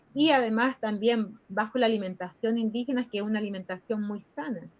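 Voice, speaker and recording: Speaking at a moderate pace, a woman with a fairly high pitch has ordinary pitch variation and a plain, everyday voice. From northern Chile, Aymara people. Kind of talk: interview answer.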